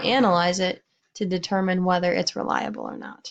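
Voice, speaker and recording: A woman speaks at a moderate pace in a medium pitch. She has a plain, everyday voice. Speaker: science teacher. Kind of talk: lecture.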